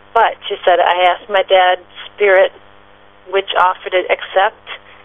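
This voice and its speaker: A woman talks at a moderate pace in a medium pitch. Noticeable background noise runs behind her. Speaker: author and psychic medium. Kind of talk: radio interview.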